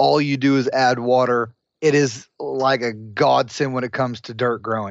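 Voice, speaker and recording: A man talks in a normal speaking voice, keeping a medium pitch, a moderate pace and fairly even intonation. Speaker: former podcast co-host. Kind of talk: casual chat. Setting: phone call.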